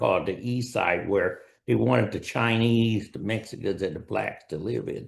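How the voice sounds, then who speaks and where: Over a quiet background, a man with an American accent speaks with vocal fry. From US West, El Centro, California. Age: 80s+. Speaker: retired-age professional, dentist. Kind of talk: interview, personal life story. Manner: hesitant, with fillers.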